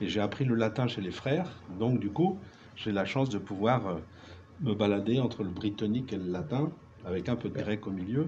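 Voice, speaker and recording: A man with fairly low pitch and a dark, mellow tone, somewhat breathy, with audible room echo. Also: lively intonation, moderate pace. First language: Breton (speaking French). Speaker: writer, musician and druid. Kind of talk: round table discussion.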